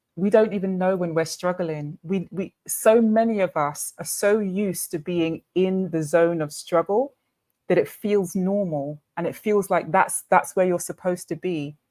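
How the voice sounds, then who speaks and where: In a British accent, the voice has a dark, mellow tone, ordinary pitch variation and a moderate pace, on a very clean recording with a silent background. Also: woman, medium pitch for a woman. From Britain. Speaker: summit speaker. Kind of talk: panel discussion.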